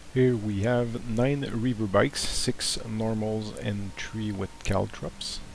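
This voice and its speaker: In a French Canadian accent, a man speaks very slowly at a fairly low pitch with fairly even intonation. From Montreal, Quebec, Canada. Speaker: tabletop wargaming hobbyist. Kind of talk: battle report voice-over narration. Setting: home recording with background hiss.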